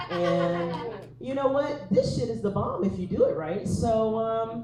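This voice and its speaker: Against noticeable background noise and audible room echo, a woman with an American accent speaks at a fairly slow pace with very wide pitch swings. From East Texas. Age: 40s. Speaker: comedian. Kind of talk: stand-up.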